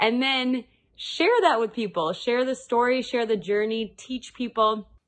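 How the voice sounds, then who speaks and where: A woman with a fairly high pitch talks at a fairly slow pace, showing ordinary pitch variation. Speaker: influencer. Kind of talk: recorded advice clip.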